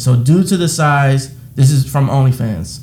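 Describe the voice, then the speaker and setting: This is a man's voice with a dark, mellow tone. It sounds somewhat breathy. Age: 20s. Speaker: podcast co-host. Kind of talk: casual chat.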